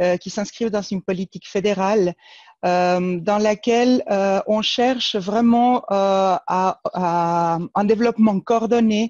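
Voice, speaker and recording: Against a quiet background, a woman speaks very slowly at medium pitch with fairly even intonation, the sound dry and close with no echo. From Argentina, Buenos Aires. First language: Spanish (speaking French). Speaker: regional government planning official. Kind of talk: webinar presentation. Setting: online webinar. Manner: hesitant, many fillers.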